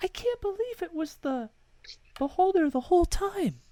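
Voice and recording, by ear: In a put-on character voice, a female-sounding speaker talks at a moderate pace in an extremely high pitch for a woman.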